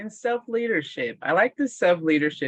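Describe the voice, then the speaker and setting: A moderate pace in an American accent. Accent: American accent, noticeable in Toronto. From US Midwest, Indiana. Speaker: mindfulness workshop facilitator. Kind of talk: webinar presentation. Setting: online webinar. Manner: repetitive.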